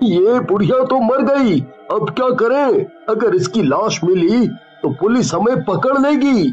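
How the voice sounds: Putting on a cartoonish character voice, a man speaks fairly slowly at a high pitch with very wide pitch swings, faint music playing behind him.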